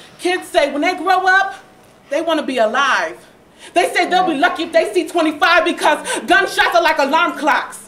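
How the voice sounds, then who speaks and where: A woman's extremely high voice moves at a moderate pace with ordinary pitch variation, amid audible room echo and noticeable background noise. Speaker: slam poet. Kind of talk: spoken word performance. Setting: stage with audience. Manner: rhythmic.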